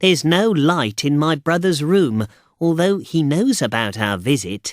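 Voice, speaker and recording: Putting on a character voice, a man with a fairly high pitch swings very widely in pitch at a moderate pace, his loudness very even and the sound dry and close with no echo. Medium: read story. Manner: nervous.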